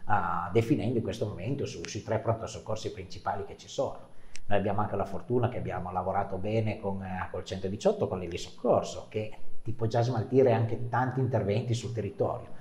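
With audible room echo, a man speaks at a fairly quick pace in a fairly low pitch, his intonation fairly even and his loudness swinging widely. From northern Italy, Canavese (Piedmont); Piedmont, Italy. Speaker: regional councillor. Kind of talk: interview. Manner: halting, repeats words. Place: studio. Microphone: lapel.

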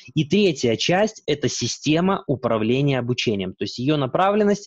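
Somewhat breathy and fairly high, a man's voice swings very widely in pitch at a moderate pace, dry with no echo against a quiet background. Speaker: e-learning developer and presenter. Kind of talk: webinar presentation. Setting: video call. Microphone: webcam.

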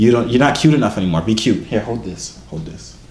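A man speaks at a fairly quick pace with fairly low pitch, lively intonation and a slightly mellow tone, with audible room echo.

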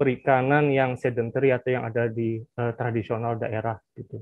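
In a quiet background with dry sound and no echo, a man at medium pitch speaks with monotone, flat intonation. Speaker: fisheries researcher. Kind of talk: webinar presentation. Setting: video call. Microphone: video call.

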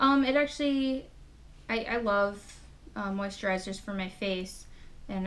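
A woman is speaking at a medium pitch. Her voice shows ordinary pitch variation. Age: 20s. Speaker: beauty YouTuber. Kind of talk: casual unboxing vlog. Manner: animated. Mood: cheerful, mildly excited. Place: home room. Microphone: webcam.

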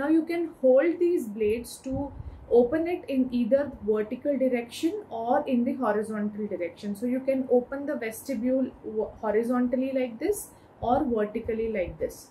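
A woman with a high pitch and a dark, mellow tone speaks at a moderate pace over light background noise. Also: ordinary pitch variation. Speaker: medical educator. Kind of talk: lecture. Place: home room.

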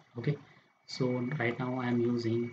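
Noticeable background noise sits behind a man speaking quietly at a moderate pace. His pitch is medium. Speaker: software tutor. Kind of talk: screen-recorded software tutorial. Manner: quiet, low volume.

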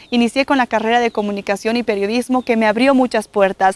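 Speaking at a very fast pace, a woman with a high-pitched voice is heard in a dry recording with no echo. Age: 20s. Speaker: TV presenter and university student; TV presenter. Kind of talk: promotional testimonial. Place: open country. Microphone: lapel.

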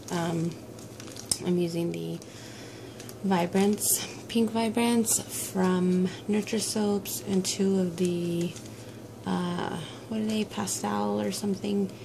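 A woman speaking at a very slow pace with long, frequent pauses and fairly even intonation, over noticeable background noise. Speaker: soap maker. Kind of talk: casual tutorial talk to camera. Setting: home basement. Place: workshop. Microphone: camera far.

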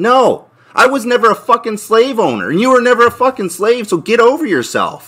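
Loud and furious, a man shouts at an extremely high pitch with ordinary pitch variation over a quiet background. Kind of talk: angry rant. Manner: loud, furious, blunt, profanity-laden; rapid-fire, emphatic repetition. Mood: angry. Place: home room. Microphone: camera far.

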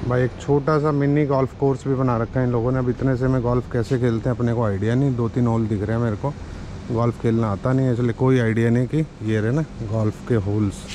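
Noticeable background noise sits behind a man speaking at a fairly quick pace. His intonation is fairly even and his loudness very even. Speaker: travel vlogger. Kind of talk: casual vlog chat. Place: street. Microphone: phone near.

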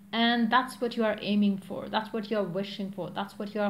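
A woman's somewhat breathy voice over light background noise. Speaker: tarot reader. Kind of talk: tarot reading monologue. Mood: calm, reassuring. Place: home room. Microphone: phone near.

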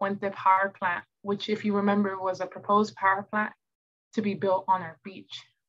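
A woman talks at a moderate pace with an American accent. The background is quiet. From Southern California, Oxnard; Southern California. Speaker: community show host. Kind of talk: casual self-introduction to camera. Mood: warm, earnest. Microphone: video call.

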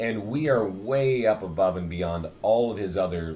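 With a plain, everyday voice, a man speaks in a fairly low pitch with lively intonation over light background noise. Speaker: real estate marketing trainer. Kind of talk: tutorial.

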